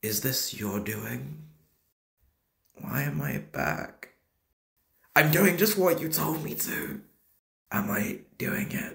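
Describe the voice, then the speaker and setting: The speaker uses a put-on character voice that sounds raspy. The delivery is very slow, with long, frequent pauses. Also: man, fairly low pitch for a man. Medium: voice reel.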